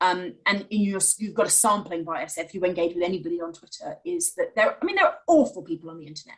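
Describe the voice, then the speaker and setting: Racing at a very fast pace with hardly any pauses, a woman speaks with big swings in loudness. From rural Wales. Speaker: think tank chief executive. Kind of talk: live online interview. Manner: halting.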